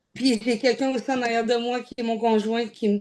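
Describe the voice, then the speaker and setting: In a Quebec accent, a woman talks at a fairly quick pace with a fairly high pitch and a flat, monotone delivery. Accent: Québécois French. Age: 30s. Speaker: weight-loss program client. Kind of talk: interview. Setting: video interview. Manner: casual.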